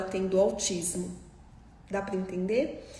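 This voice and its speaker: A woman talks at a fairly slow pace while audible room echo and noticeable background noise fill the recording. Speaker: doctor specializing in Down syndrome. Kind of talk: live stream Q&A lecture.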